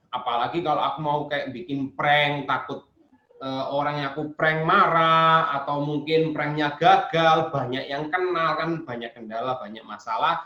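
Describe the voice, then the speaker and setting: Bright and sharp in tone, a man speaks at a moderate pace in a fairly high pitch. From Indonesia, Surabaya (East Java). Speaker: YouTuber and former English teacher. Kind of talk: seminar Q&A talk. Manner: code-switching Indonesian, Javanese and English.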